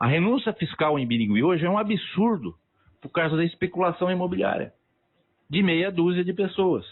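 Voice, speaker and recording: Lively intonation at a moderate pace. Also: man, high pitch for a man. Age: 60s. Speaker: local political candidate. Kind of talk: radio interview. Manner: animated.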